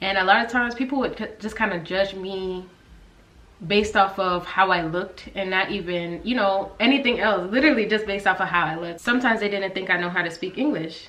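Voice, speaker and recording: Speaking very fast with an American accent, a woman of medium pitch and ordinary pitch variation is heard with audible room echo and noticeable background noise. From US South, Georgia. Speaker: YouTuber, guest. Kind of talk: casual chat.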